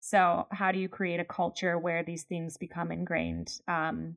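A normal speaking voice with an American accent, fairly even intonation and a fairly slow pace. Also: woman. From Pennsylvania, US. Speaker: podcast co-host, leadership trainer. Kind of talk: casual chat.

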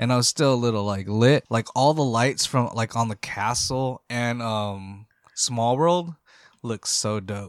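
A man with an ordinary speaking voice at medium pitch, fairly slow pace and ordinary pitch variation, in a very clean recording with a silent background and a dry, close sound with no echo. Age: 40s. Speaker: podcast co-host. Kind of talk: casual chat.

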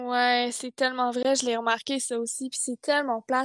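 A woman with a Quebec accent speaks at a moderate pace and high pitch in a monotone, flat intonation, on a very clean recording with a silent background and a dry, close sound with no echo. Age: 20s. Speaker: fashion design student, podcast co-host. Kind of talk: casual chat.

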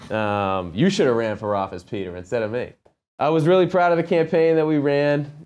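Against a quiet background, a man with an American accent uses a plain, everyday voice, speaking at a fairly quick pace with lively intonation. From Massachusetts, Medfield. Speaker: union carpenter and former candidate. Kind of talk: interview.

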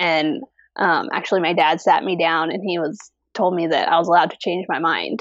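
A plain, everyday voice, a woman's fairly low pitch at a fairly quick pace with ordinary pitch variation. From US, army family, moved around. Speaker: fiber artist. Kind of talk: casual interview. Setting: video call.

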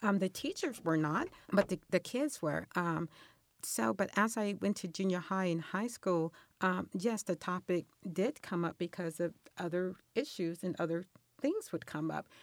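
An unremarkable speaking voice from a woman with an American accent, medium pitch and ordinary pitch variation at a moderate pace, dry and close with no echo in a very clean recording over a silent background. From Los Angeles. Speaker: mother of five. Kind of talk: interview. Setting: studio.

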